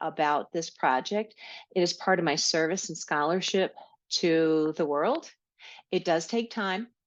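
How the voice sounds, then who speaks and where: With a New York accent, a woman talks at a moderate pace in a fairly low pitch, her pitch variation ordinary. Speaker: podcast host, health educator. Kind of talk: solo podcast monologue.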